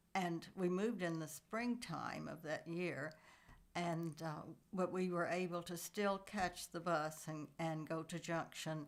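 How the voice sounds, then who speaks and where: With a Texan accent, a woman speaks at a fairly low pitch. Her pace is very slow and her intonation fairly even. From Texas, Coleman area. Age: 80s+. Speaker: family elder sharing memories. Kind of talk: oral history interview. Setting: at a relative's house. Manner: halting, many fillers.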